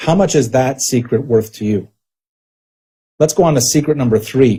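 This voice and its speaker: In a dark, mellow tone that is somewhat breathy, a man talks at a moderate pace with a medium pitch and ordinary pitch variation. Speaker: network marketing presenter. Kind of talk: sales pitch. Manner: animated.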